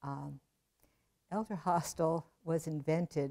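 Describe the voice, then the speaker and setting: A woman speaks with an American accent in a very deep, low voice. Her tone is dark and mellow, with ordinary pitch variation. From New Jersey. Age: 80s+. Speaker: retired math professor. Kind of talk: interview.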